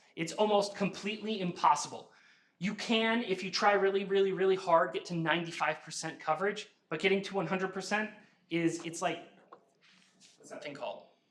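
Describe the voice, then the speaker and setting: A man's high voice, bright and sharp in tone, at a fairly quick pace with fairly even intonation, in audible room echo. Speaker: university instructor. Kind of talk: lecture. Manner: loud.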